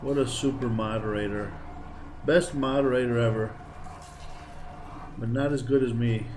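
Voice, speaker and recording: Fairly even intonation broken by long, frequent pauses, with audible room echo and noticeable background noise. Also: man. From Greece. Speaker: gaming streamer. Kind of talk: live game streaming commentary. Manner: casual, chatty.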